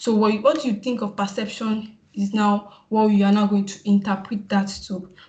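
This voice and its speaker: A woman speaks in a flat monotone with hardly any pauses. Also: medium pitch for a woman. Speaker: PR practitioner, summit speaker. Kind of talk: webinar presentation. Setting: video call. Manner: fast; halting, many fillers.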